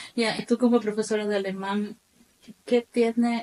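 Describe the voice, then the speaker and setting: A woman with a dark, mellow tone, moderate pace, and a dry, close sound with no echo. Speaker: podcast host. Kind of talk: podcast interview.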